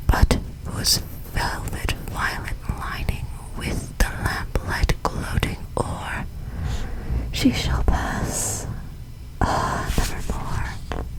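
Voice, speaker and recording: A whisper, very slow, broken by long, frequent pauses, over noticeable background noise. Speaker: ASMR creator. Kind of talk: poetry reading; ASMR storytelling. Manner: whispered.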